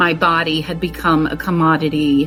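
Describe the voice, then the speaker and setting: Music plays in the background as a woman with a very deep, low pitch speaks in a flat monotone at a fairly slow pace. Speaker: abuse survivor and advocate. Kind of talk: spoken word poetry reading.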